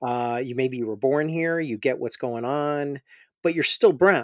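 The background is quiet, and the sound is dry and close with no echo. A man with an American accent talks at a fairly slow pace with ordinary pitch variation. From US Midwest, Chicago. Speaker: mental health physician. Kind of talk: interview. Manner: halting, many repetitions and fillers.

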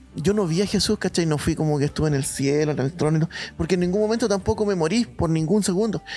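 The speech moves at a very fast pace with very even loudness. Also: man, high pitch for a man, ordinary pitch variation. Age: 30s. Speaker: mission base director. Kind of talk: testimony.

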